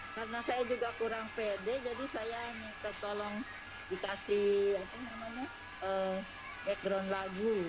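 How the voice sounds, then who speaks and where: Music plays in the background, and room echo is audible. The speech moves at a fairly slow pace with fairly even intonation. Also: woman, medium pitch for a woman. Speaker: church group member. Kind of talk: casual chat. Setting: video call. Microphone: quiet.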